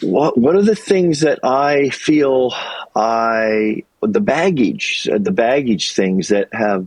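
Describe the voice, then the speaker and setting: The man's pitch swings very widely as he talks. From US Midwest and Colorado. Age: 60s. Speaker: YouTuber and retail worker, former teacher. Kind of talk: interview conversation. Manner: reflective, halting with fillers.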